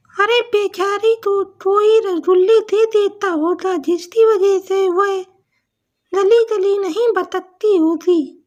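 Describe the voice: A cartoonish character voice, female-sounding and extremely high-pitched, at a very slow pace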